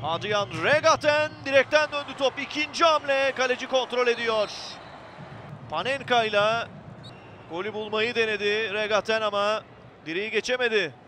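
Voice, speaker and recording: A man with a high pitch and a raised, projected voice, ordinary pitch variation, a fairly slow pace and long, frequent pauses, amid noticeable background noise. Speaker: football commentator. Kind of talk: live football match commentary, highlights reel.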